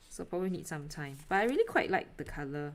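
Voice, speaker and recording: With a Singaporean accent, a woman speaks in a fairly low pitch. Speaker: artist live streamer. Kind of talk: casual live stream chat while painting. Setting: live stream at home. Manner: hesitant, many fillers. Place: home room.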